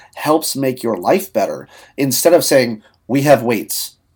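This man has a plain, everyday voice, fairly high in pitch. He talks at a fairly slow pace with ordinary pitch variation. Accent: American. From US Southwest, Albuquerque; teen years in Ohio. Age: 30s. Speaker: marketing consultant. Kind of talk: casual interview.

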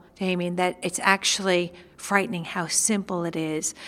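Speaking with a New York accent, a woman talks at a fairly slow pace. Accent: New York American. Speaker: nutritionist. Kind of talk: interview chat about nutrition.

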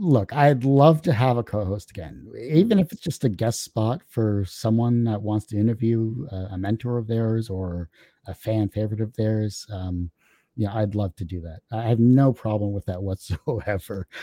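Captured in a very clean recording with a silent background, a man speaks in a dark, mellow tone at fairly low pitch. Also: ordinary pitch variation, moderate pace, dry, close sound with no echo. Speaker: podcaster. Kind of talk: casual interview chat.

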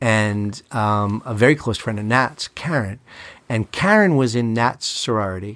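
With an American accent, a man speaks fairly slowly in an ordinary speaking voice of medium pitch and ordinary pitch variation, on a very clean recording with a silent background. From Long Island, New York. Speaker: lawyer. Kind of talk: casual chat.

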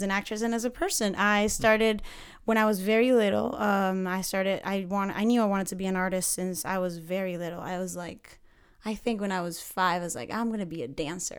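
With a Spanish accent, a woman of medium pitch speaks at a fairly quick pace with ordinary pitch variation. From Panama. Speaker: acting student. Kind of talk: casual interview.

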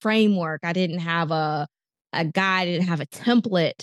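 A woman's medium-pitched voice with ordinary pitch variation comes through dry and close, with no echo. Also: quiet background. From US South, North Carolina (Raleigh). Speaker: physician and executive coach. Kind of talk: interview. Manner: halting, frequent repetitions.

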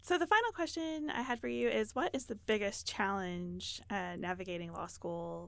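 Speaking at a moderate pace, a woman talks with a Texan accent. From Texas. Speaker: pre-law program manager and attorney. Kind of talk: interview; reading statistics aloud.

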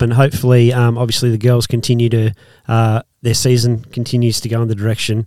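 Medium-pitched male voice with a dark, mellow tone and an Australian accent. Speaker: podcast host. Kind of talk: casual chat. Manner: jokey, laughs often.

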